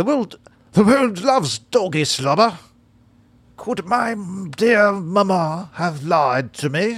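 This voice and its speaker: A put-on character voice with a British accent, pitched in the middle, moves at a very slow pace with long, frequent pauses. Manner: silly, playful.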